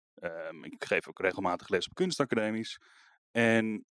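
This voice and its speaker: Recorded with a dry, close sound and no echo, a man's voice moves through very wide pitch swings. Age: 30s. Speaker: visual artist and art teacher. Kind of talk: interview. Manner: hesitant, many fillers and repetitions.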